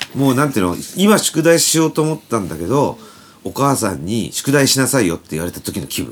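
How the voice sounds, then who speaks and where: Over noticeable background noise, a man talks at a fairly quick pace with very wide pitch swings and big swings in loudness. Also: medium pitch for a man. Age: 50s. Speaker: band guitarist and podcast host. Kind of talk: casual chat.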